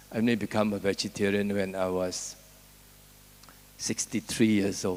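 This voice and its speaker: A man with a fairly low pitch speaks in a flat monotone. His pace is moderate. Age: 70s. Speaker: invited speaker at animal welfare conference. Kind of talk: conference speech.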